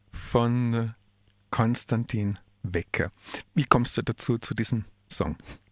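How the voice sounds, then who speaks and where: Very slow male speech at a medium pitch, dry and close with no echo, on a very clean recording with a silent background. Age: 50s. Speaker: radio host and social worker. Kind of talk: radio interview. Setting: radio studio. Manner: halting.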